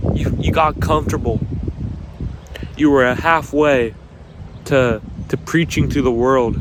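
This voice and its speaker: The man's pitch is medium, with ordinary variation, and his loudness stays very even. He speaks at a fairly slow pace with long, frequent pauses, over noticeable background noise. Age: young. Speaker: motivational video creator. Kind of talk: motivational talk. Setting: outdoors. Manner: halting, repeats and stutters.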